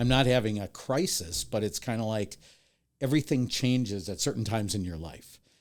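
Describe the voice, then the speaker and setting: With an American accent, a man talks at a fairly quick pace in a plain, everyday voice, his fairly low pitch carrying lively intonation over a very clean recording with a silent background. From US Midwest, Milwaukee, Wisconsin. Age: 60s. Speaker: TV horror host and video editor. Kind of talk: casual podcast interview.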